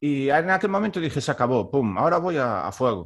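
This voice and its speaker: On a very clean recording with a silent background, a man talks at a fairly quick pace in a fairly high pitch. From Galicia, Spain (Baiona, near Vigo). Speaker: orchestral clarinetist. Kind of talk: casual interview chat.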